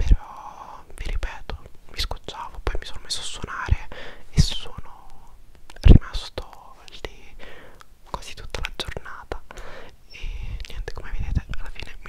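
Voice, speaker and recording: Whispering, a man speaks with long, frequent pauses. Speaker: vlogger. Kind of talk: casual vlog chat. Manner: intimate close-mic whisper. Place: home room. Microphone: lapel.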